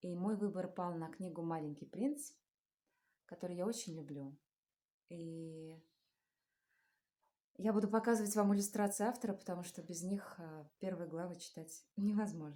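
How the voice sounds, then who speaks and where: A woman speaks in a dark, mellow tone with ordinary pitch variation. Her loudness swings widely, and she leaves long, frequent pauses. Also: medium pitch for a woman, moderate pace. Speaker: stage actress. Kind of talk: casual talk to camera.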